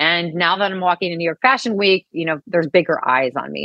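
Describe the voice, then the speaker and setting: Speaking at a fairly quick pace, a woman with an American accent has a normal speaking voice pitched fairly low. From US Midwest, St. Louis. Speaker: author and speaker, cancer survivor. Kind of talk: interview.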